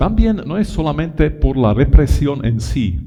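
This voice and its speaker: In a room with audible echo, a man speaks very slowly with an Italian accent. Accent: non-native Spanish with Italianisms. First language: not Spanish (speaking Spanish). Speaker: lecturer on education. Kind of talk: conference lecture. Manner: halting, many repetitions.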